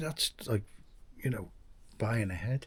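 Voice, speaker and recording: An English-accented man speaks fairly slowly and somewhat breathily, with lively intonation. The recording is very clean, with a silent background. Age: 60s. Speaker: expat vlogger. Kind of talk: casual vlog monologue. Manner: halting, many restarts.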